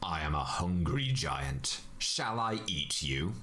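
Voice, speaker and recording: A man puts on a character voice and talks at a fairly slow pace over clear background noise. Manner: menacing.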